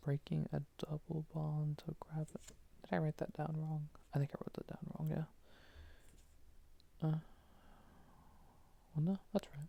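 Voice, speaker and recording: Whispering in a soothing tone, the voice is soft-spoken. The pace is very slow. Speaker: student studying for an organic chemistry final. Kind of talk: ASMR soft-spoken study session, talking through chemistry flashcards. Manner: soft-spoken, soothing, whispery.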